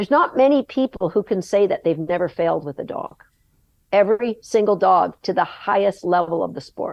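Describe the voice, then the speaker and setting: A woman with an ordinary speaking voice talks at a fairly quick pace, her intonation lively. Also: medium pitch for a woman. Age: 60s. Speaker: agility dog trainer. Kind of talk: podcast interview conversation.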